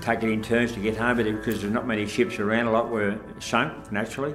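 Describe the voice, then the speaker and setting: Over clear background music, a man with a fairly low voice talks very fast. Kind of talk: interview answer. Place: studio.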